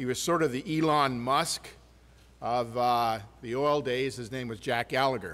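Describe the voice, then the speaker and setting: This is a normal speaking voice at a moderate pace. The intonation is fairly even. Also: man, medium pitch for a man. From southern Ontario, Canada. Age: 60s. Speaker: mining company executive. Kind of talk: keynote speech.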